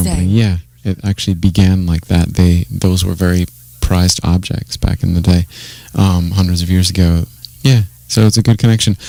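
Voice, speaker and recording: A fairly quick pace with fairly even intonation and an American accent, over music in the background. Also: man, very deep, low pitch for a man. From Iowa. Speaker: poet and auctioneer. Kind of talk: interview answer. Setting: radio studio.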